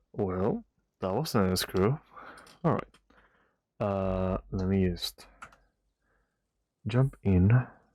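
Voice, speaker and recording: A quiet voice at a very slow pace, broken by long, frequent pauses. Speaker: video game streamer. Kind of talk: casual live stream chat. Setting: late-night home stream. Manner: quiet, subdued.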